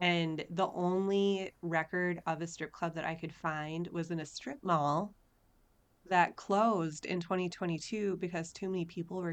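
An American accent marks this woman's ordinary speaking voice, pitched fairly low, with fairly even intonation at a moderate pace. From Minnesota, Minneapolis. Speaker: podcast co-host. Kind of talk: casual chat.

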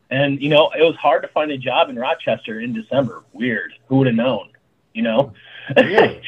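A man uses a normal speaking voice, pitched fairly high, with ordinary pitch variation and a moderate pace. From Arizona, small town near Tucson. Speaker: chef and restaurant owner. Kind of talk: casual chat. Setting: video call.

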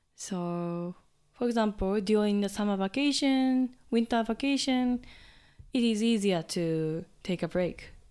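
A woman's fairly high-pitched voice with a dark, mellow tone, at a fairly slow pace. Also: ordinary pitch variation, very clean recording, silent background. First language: Japanese. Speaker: high school English teacher. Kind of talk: interview. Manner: hesitant, with many fillers.

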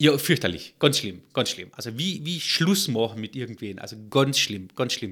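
At a moderate pace, a man with medium pitch and a bright, sharp tone speaks with very wide pitch swings and big swings in loudness. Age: 40s. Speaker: entrepreneur, software company founder. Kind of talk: interview.

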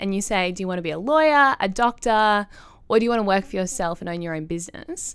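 With an Australian accent, a woman speaks fairly quickly at medium pitch, her intonation lively. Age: 20s. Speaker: young political candidate and student. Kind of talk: podcast discussion.

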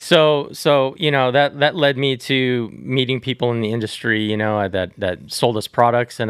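An American-accented man with an unremarkable speaking voice talks at medium pitch and a moderate pace, with ordinary pitch variation. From Southern California. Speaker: tattoo company executive. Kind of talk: casual interview.

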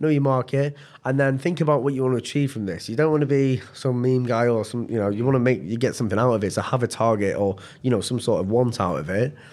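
A man speaks at a very fast pace in a medium pitch, with ordinary pitch variation. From northern England. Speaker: recruitment manager. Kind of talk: casual chat.

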